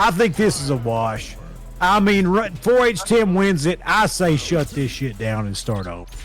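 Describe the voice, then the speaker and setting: With a strong Southern US accent, a man talks at a high pitch and a moderate pace. His pitch swings very widely. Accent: thick southern. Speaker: esports commentator. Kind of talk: live commentary. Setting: home.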